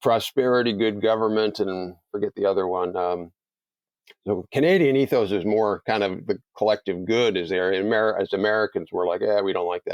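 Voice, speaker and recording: A man's fairly low pitch at a fairly quick pace. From Canada. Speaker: think tank president, policy expert. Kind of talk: interview. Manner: animated.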